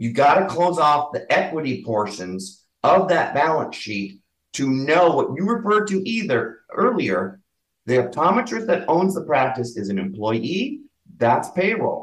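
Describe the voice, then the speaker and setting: A man's fairly high-pitched voice with vocal fry, very wide pitch swings and a fairly slow pace. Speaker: bookkeeper, business owner. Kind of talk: casual interview.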